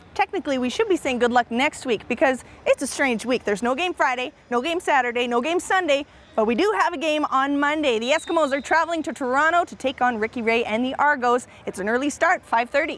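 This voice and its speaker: A woman's high, very fast voice with lively intonation and hardly any pauses, over noticeable background noise. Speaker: sports show co-host. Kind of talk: casual chat.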